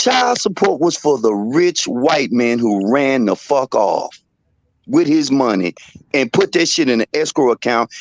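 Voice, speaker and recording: This is a plain, everyday voice at a fairly slow pace. Loudness stays very even, and the sound is dry and close with no echo. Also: man. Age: 60s. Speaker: caller. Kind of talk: heated debate.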